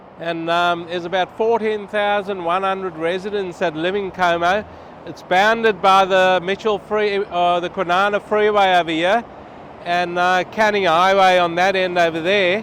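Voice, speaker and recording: Loud and flat, a man with an Australian accent speaks in a monotone at a high pitch for a man. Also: moderate pace. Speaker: travel vlogger. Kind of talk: vlog walkthrough. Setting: outdoors on a freeway overpass.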